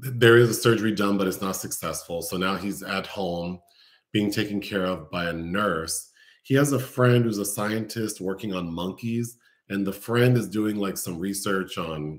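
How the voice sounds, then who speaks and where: Here a man speaks at a moderate pace with ordinary pitch variation. The background is quiet. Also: fairly low pitch for a man. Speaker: film reviewer host. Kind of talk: casual plot summary commentary. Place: home room. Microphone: webcam.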